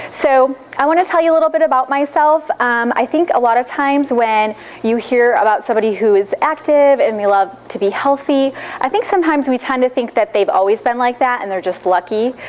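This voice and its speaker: A woman with a Michigan accent, high-pitched and lively in intonation, at a fairly quick pace over noticeable background noise. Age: 30s. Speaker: nutrition consultant. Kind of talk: lecture. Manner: fast.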